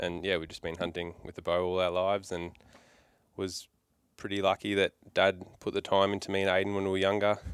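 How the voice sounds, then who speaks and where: In an Australian accent, a man talks at a moderate pace with a very deep, low pitch and monotone, flat intonation. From Melbourne, Australia. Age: 20s. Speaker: hunter and vet. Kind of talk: casual chat. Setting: shed.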